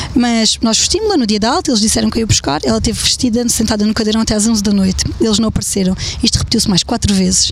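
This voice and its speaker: A woman talks at a very fast pace with a fairly high pitch, ordinary pitch variation and hardly any pauses. Her loudness stays very even over noticeable background noise. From Alentejo, Portugal (Évora). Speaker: blogger and mother. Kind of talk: casual interview. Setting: outdoor rooftop terrace.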